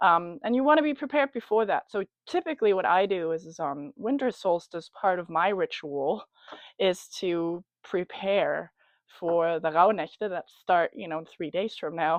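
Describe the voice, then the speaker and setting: A woman with a German accent speaks at a medium pitch with lively intonation. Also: moderate pace. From Germany. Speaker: spiritual coach. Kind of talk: casual talk to camera about a ritual. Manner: hesitant, many fillers.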